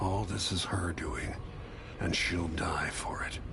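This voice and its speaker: A man whispering in a put-on character voice at a fairly slow pace over loud background noise. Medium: game stream. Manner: grim, intense.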